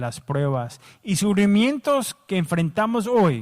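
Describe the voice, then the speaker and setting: A man with an English accent speaks at a very slow pace with lively intonation on a very clean recording with a silent background. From United States. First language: English (speaking Spanish). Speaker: pastor. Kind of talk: sermon.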